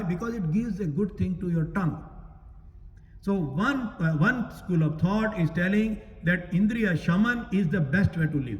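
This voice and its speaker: A man talks at a moderate pace with ordinary pitch variation, and the room echo is audible. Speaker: Gita teacher at a temple. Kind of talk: religious discourse. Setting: temple hall, also streamed online.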